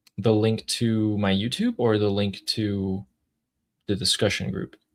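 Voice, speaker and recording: A man's fairly low voice with an American accent, at a fairly slow pace, in a monotone, flat intonation. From California. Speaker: YouTuber hosting a live discussion. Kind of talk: casual live stream chat.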